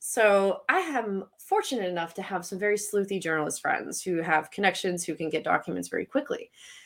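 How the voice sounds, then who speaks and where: On a very clean recording with a silent background, a woman at a medium pitch talks at a fairly quick pace with hardly any pauses. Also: ordinary pitch variation. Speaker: former congressional candidate. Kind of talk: interview. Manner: occasional stumbling.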